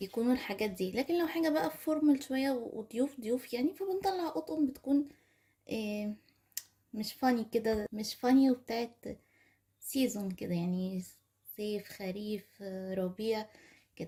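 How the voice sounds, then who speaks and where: In an Egyptian accent, a woman with a fairly high pitch talks at a moderate pace with lively intonation. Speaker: lifestyle vlogger. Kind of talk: product haul video. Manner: casual chatty.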